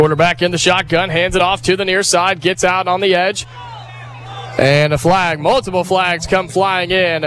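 With music in the background, a man with an American accent speaks at a moderate pace in a high voice, his intonation fairly even and his loudness very even. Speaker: play-by-play radio announcer. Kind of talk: live play-by-play commentary of a high school football game. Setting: press box broadcast booth at stadium. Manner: loose, joking banter during breaks.

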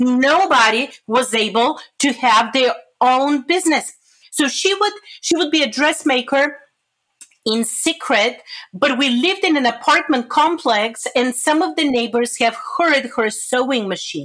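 In a Bulgarian accent, a woman speaks fairly slowly with a high pitch, lively intonation and very even loudness. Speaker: pastor. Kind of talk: interview.

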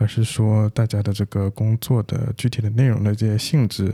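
A somewhat breathy voice with fairly even intonation is heard on a very clean recording with a silent background. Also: man. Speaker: podcast co-host, developer. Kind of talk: casual chat.

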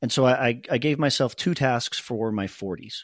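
On a very clean recording with a silent background, a man speaks in an ordinary speaking voice at medium pitch with ordinary pitch variation. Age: 40s. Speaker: podcast host, CEO. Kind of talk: casual chat.

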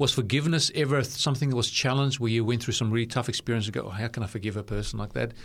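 A man's somewhat breathy, medium-pitched speech at a very fast pace, with fairly even intonation and hardly any pauses. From South Africa, Cape Town. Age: 50s. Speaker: radio host. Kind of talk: interview. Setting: studio.

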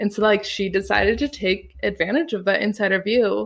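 With vocal fry in her delivery, a woman speaks at a medium pitch. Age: 20s. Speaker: director and actor. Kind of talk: casual chat.

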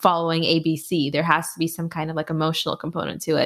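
A woman with a plain, everyday voice speaks at a fairly quick pace, her pitch fairly low, on a very clean recording with a silent background. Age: 30s. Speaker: financial writer and podcaster. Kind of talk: interview.

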